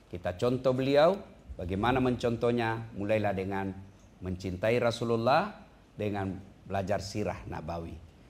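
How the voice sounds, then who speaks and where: A man with an unremarkable speaking voice, pitched fairly low, moves at a moderate pace and varies his pitch in an ordinary way. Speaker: Islamic preacher. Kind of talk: Islamic sermon (tausiyah) to an audience. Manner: humorous, lively preaching style.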